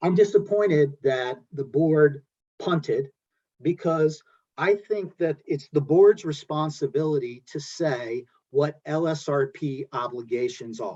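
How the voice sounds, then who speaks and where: Speaking at a fairly slow pace with a New Jersey accent, a man uses lively intonation and a fairly high pitch with a dark, mellow tone. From New Jersey (Belleville). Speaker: environmental lawyer. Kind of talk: panel discussion. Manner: halting.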